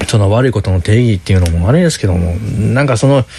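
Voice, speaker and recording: Over noticeable background noise, a man with a Kansai accent speaks in a fairly low pitch with lively intonation. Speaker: podcast co-host. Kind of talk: casual chat.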